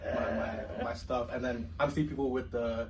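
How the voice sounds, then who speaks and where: The intonation is lively, and noticeable background noise sits behind it. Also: man. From Mississauga, Canada, Nigerian family. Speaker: university student, student club president. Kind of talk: casual chat.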